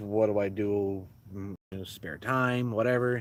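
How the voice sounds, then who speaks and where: The speaker is a man. His pitch is fairly low. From US Midwest, Milwaukee. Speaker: YouTuber. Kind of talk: casual live-stream Q&A. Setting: inside a tent at a beach campsite. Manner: loud; halting, many fillers.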